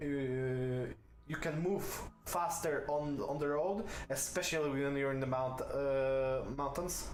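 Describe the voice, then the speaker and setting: A man's very slow speech in a non-native accent, fairly high in pitch and very even in loudness, with audible room echo and noticeable background noise. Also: fairly even intonation. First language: not English. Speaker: video game streamer. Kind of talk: gameplay commentary. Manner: hesitant, many fillers.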